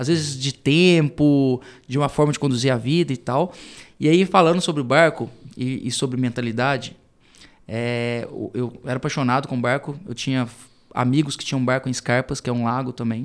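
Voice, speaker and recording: A man with a strong rural Minas Gerais accent speaks at medium pitch and a moderate pace, with fairly even intonation, in a very clean recording with a silent background. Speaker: entrepreneur, CEO. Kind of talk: podcast interview. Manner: casual, hesitant with repetitions.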